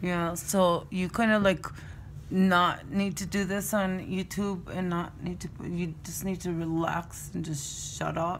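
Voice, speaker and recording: Audible room echo surrounds a woman with a fairly low voice. She speaks at a fairly slow pace in a flat monotone. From Mexico, Chihuahua. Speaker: vlogger's mother. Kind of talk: casual chat.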